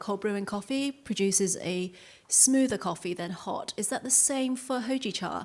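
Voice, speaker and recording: A woman in a British accent speaks at a moderate pace and medium pitch with ordinary pitch variation, in a very clean recording with a silent background. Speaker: audience member. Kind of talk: audience question. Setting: live workshop with audience. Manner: halting, many fillers.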